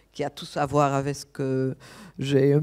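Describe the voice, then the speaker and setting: A very slow voice with a dark, mellow tone comes through in a very clean recording with a silent background. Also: woman. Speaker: architect and conference speaker. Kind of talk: conference talk. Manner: halting, many hesitations.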